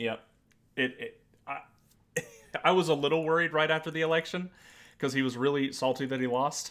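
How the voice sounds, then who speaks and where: Fairly high in pitch, a man with an American accent talks at a fairly quick pace with fairly even intonation and long, frequent pauses. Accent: Southern accent, toned down when online. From US South. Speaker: podcast co-host. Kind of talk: casual political chat.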